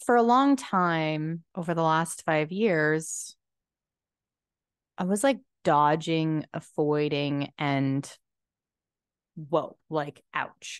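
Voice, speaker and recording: A woman's very deep, low voice at a very slow pace against a quiet background. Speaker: podcast host. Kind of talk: casual monologue. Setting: at home.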